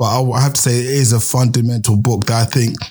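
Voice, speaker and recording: A man talks at a fairly quick pace in a medium pitch. His tone is dark and mellow, and somewhat breathy. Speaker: podcast host. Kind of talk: interview.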